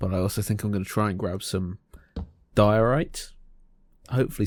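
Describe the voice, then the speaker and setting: On a very clean recording with a silent background, a man with an English accent speaks in a fairly low voice at a moderate pace. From England. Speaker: gaming youtuber. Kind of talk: gameplay commentary. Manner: casual, chatty.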